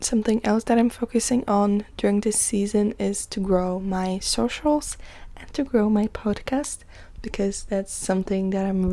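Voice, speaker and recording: The voice has a dark, mellow tone and speaks with a Polish accent. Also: woman. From Poland. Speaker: podcast host. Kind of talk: casual self-care podcast monologue.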